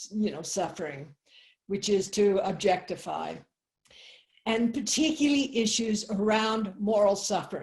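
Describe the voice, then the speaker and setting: The woman's voice sits at a medium pitch and is somewhat breathy. She speaks at a fairly slow pace with lively intonation. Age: 70s. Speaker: Zen abbot and medical anthropologist. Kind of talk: online talk to a group. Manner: halting, many fillers.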